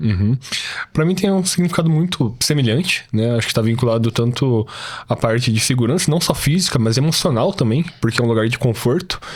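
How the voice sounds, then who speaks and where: Noticeable background noise is present. A man speaks fairly quickly over it. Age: 20s. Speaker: programmer. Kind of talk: casual interview.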